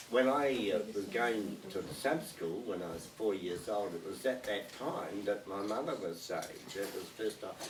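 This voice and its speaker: Speaking fairly slowly with a New Zealand accent, a man uses a fairly low pitch and ordinary pitch variation, with audible room echo and noticeable background noise. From New Zealand, Lower Hutt. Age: 80s+. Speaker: retired pastor. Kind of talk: casual life-story interview. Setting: small church group in a home. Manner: halting, many fillers.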